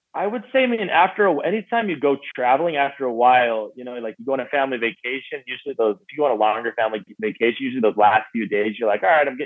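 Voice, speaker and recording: An American accent comes through at a very fast pace with hardly any pauses. The intonation is lively, with big swings in loudness. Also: man. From northern Alberta, Canada, then US from high school. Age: 30s. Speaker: social media influencer and charity founder. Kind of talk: casual interview chat. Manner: relaxed, easy-listening delivery.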